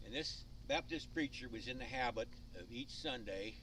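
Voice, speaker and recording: A man at a moderate pace, with audible room echo. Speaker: amateur storyteller. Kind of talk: storytelling.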